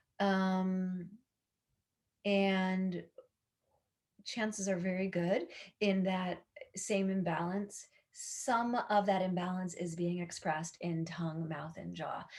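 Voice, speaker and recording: At a very slow pace, a woman speaks in a somewhat breathy voice of medium pitch. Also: long, frequent pauses. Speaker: yoga teacher. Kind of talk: instructional talk. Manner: halting with fillers.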